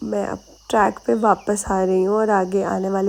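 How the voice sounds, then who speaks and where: A woman speaks with a dark, mellow tone at a medium pitch. Her pace is fairly slow. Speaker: vlogger. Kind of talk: casual vlog narration.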